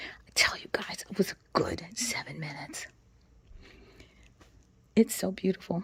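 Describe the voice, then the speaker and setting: A woman is whispering. She goes at a fairly slow pace with long, frequent pauses. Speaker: lifestyle vlogger. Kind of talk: ASMR garden vlog. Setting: outdoors. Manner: soft-spoken, whispered.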